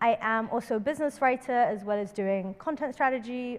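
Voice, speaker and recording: With a London accent, a woman speaks using ordinary pitch variation. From London, England. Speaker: workshop presenter, startup consultant. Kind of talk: workshop presentation.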